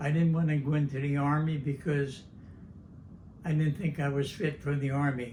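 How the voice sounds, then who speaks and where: Speaking with an American accent, a man sounds somewhat breathy, with fairly even intonation and audible room echo. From New Jersey, Vineland. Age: 90s. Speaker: war veteran. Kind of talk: oral history interview. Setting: at home. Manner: halting.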